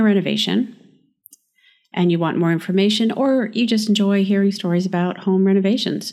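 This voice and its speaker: Here is a woman with a normal speaking voice at a medium pitch. Her pitch variation is ordinary. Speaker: podcast host and architect. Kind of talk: interview conversation, podcast.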